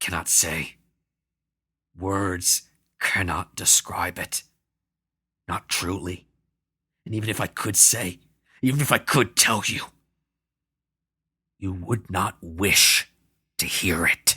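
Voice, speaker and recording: Putting on a character voice, a man growls in a very deep, low register at a fairly slow pace with long, frequent pauses, in a very clean, dry, close recording with a silent background and no echo. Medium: read story. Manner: menacing, forceful.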